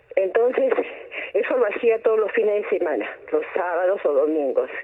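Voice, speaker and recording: Moderate pace against noticeable background noise. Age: 80s+. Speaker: caller. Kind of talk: phone-in chat. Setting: phone call. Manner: halting.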